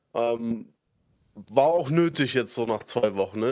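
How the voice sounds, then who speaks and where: A man speaks in a normal speaking voice at a medium pitch, moderate pace and ordinary pitch variation. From Berlin (Spandau), Germany. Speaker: podcast co-host. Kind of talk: casual chat. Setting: Discord call.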